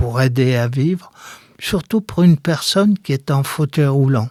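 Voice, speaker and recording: Fairly high in pitch, a man talks at a very slow pace with ordinary pitch variation. The sound is dry and close, with no echo. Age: 70s. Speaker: wheelchair user, retired educator. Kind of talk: interview testimony.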